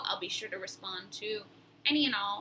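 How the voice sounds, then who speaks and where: Fairly quick speech from a woman amid noticeable background noise. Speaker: vlogger. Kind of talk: personal vlog. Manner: halting.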